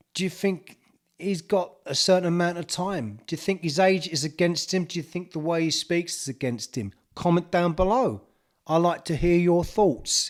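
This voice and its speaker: A man with a strong East London accent speaks in a high voice. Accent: thick East End London. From East End of London. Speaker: golf YouTuber. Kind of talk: opinion vlog.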